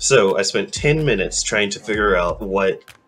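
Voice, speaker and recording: A man is talking. Music plays in the background. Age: 20s. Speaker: anime streamer. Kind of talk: casual chat. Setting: livestream. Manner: slurred.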